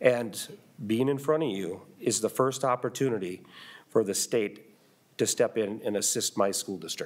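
An ordinary speaking voice from a man, medium in pitch with ordinary pitch variation, at a moderate pace. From US Midwest. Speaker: school superintendent. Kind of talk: legislative testimony. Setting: committee hearing room. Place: hall. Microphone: podium.

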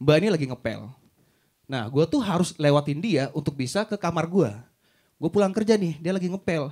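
A man's tone is animated, his intonation lively. Nothing disturbs the quiet background. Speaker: stand-up comedian. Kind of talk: stand-up comedy. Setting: stage with audience. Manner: animated, storytelling with mimicked voices and swearing; casual, slangy, punchline-driven. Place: stage. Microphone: handheld.

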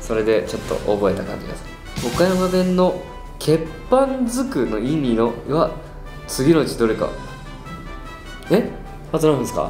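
A man with a fairly high voice speaks with very wide pitch swings and long, frequent pauses, with clear music playing behind him and audible room echo. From Okayama, Japan. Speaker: pop group performer. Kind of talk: casual quiz-show talk. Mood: playful, amused. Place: studio.

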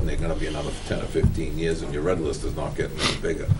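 A man speaks at a very fast pace in a monotone, flat intonation. Noticeable background noise runs underneath. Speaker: town finance committee member; speaker. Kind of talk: town board budget meeting. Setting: town meeting room. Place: meeting room.

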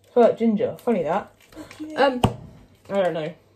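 A woman's voice over noticeable background noise. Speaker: home baker vlogger. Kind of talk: casual vlog chat. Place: kitchen. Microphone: phone near.

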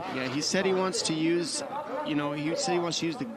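Noticeable background noise sits behind a man speaking. His intonation is lively and his pace fairly quick. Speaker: play-by-play commentator. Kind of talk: live fight commentary, calling the action and setting up the matchup. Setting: cageside commentary booth at a live event. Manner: brisk, descriptive play-by-play delivery.

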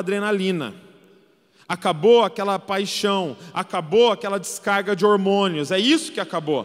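High-pitched man with a Brazilian accent, an animated, warm tone and a moderate pace, against a quiet background. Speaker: preacher. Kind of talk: sermon. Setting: church with live audience. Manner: animated, emphatic preacher, rallying the congregation with calls to respond; warm, conversational, with light humor. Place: stage. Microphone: handheld.

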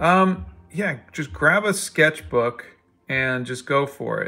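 Here a man speaks at medium pitch in an ordinary speaking voice with lively intonation. The recording is very clean, with a silent background. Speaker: artist and comic book creator. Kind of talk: casual chat while drawing on livestream. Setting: live video stream.

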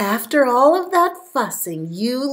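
A woman talks at a slow pace. Her voice sits high in pitch.

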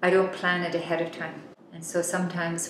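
Speaking fairly quickly in a fairly low pitch, a woman keeps a monotone, flat intonation, with light background noise and audible room echo. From Yukon, Canada. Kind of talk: interview answer. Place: home room.

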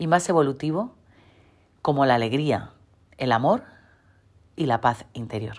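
A woman speaks in a calm tone at a fairly slow pace, her intonation lively. The recording is very clean, with a silent background. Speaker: women's leadership coach. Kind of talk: motivational talk.

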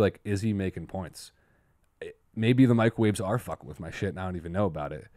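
Against a quiet background, a man speaks at a very fast pace with lively intonation, the sound dry with no echo. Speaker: podcast host. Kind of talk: casual podcast storytelling. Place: studio. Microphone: studio mic.

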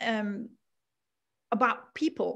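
A woman with a Dutch accent speaks at a very slow pace. Her pitch is fairly high. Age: 50s. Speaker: lifestyle coach and author. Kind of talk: interview. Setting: video call. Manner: halting.

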